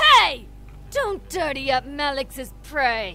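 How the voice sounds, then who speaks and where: Over clear background noise, a female-sounding voice uses a put-on character voice pitched high for a woman and moves at a very slow pace. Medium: game stream. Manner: menacing.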